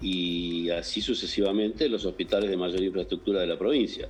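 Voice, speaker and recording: At a moderate pace, the speech unfolds with music in the background. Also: man. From Argentina, Entre Ríos. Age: 60s. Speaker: doctor. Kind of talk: interview.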